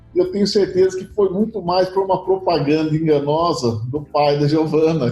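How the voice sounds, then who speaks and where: Pitched fairly high, this man's voice has a dark, mellow tone. He speaks at a moderate pace. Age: 60s. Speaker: insurance company director. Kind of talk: interview.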